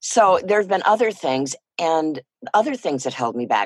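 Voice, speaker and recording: Her pitch swinging very widely, a woman speaks with a West Coast accent. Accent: American West Coast. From US Pacific Northwest, Port Angeles, Washington. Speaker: voiceover actor. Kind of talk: interview.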